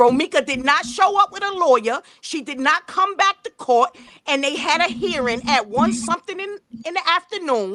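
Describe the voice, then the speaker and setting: Her voice is raised and projected, high-pitched, bright and sharp, with very wide pitch swings and a dry, close sound with no echo. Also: moderate pace. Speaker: true crime livestream host. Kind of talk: heated debate. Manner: loud.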